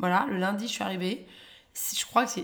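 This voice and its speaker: Somewhat breathy and animated, a woman speaks at a fairly quick pace. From London, England (raised), born in Paris. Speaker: comedian, former business lawyer. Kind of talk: casual chat. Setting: at home.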